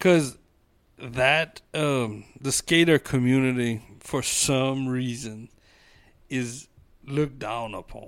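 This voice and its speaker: On a very clean recording with a silent background, a man with a Cajun accent speaks very slowly at a medium pitch with fairly even intonation. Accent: Cajun Louisiana English. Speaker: small-town mayor. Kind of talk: casual interview.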